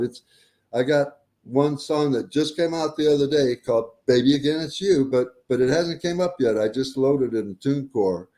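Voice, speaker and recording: A man's dark, mellow tone with an American accent, fairly high in pitch with ordinary pitch variation, at a moderate pace. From Detroit, US Midwest. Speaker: country singer-songwriter. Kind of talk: casual interview chat.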